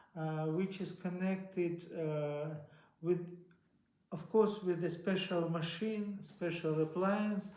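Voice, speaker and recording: A man with a Russian accent, high pitch, very slow pace and monotone, flat intonation, in audible room echo. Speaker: inventor. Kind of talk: interview. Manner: halting.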